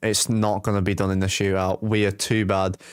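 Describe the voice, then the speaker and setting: At a moderate pace, a man speaks with a Manchester accent. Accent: Manchester English, noticeable. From England, Manchester. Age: 20s. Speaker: hockey live-stream commentator. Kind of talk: live commentary; casual chat with viewers. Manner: casual, conversational.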